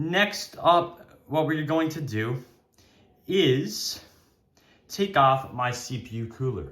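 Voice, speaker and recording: Speaking at a very slow pace with long, frequent pauses, a man uses lively intonation. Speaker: tech YouTuber. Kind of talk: tutorial. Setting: at home. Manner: loud; casual with fillers.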